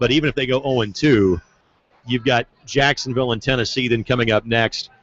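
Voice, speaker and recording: Using a plain, everyday voice, a man with an American accent talks fairly quickly at medium pitch with fairly even intonation. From southern Indiana, US. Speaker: sports play-by-play broadcaster. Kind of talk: casual podcast chat.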